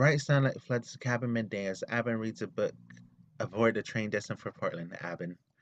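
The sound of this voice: An unforced reading voice with pitch that varies in an ordinary way.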